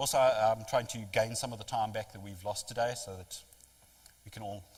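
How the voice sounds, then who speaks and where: Somewhat breathy, the man's voice sits fairly low in pitch. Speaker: technology vendor presenter. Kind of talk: lecture. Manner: fast.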